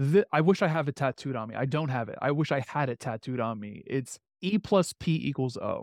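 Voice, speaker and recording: Recorded very cleanly with a silent background and a dry, close sound with no echo, a man with an American accent uses a plain, everyday voice, fairly high in pitch, at a moderate pace. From New York, Queens. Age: 30s. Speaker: podcast host and entrepreneur. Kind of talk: interview.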